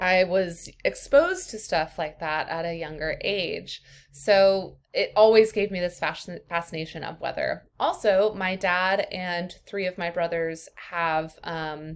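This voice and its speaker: A woman with a plain, everyday voice, medium pitch and fairly even intonation, at a fairly slow pace with hardly any pauses, on a very clean recording with a silent background. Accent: American. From US Midwest, rural Iowa. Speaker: college instructor. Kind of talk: course introduction video. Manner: casual, many fillers.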